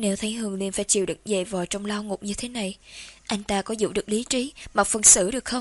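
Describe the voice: The speaker does plain reading aloud, keeping the intonation fairly even.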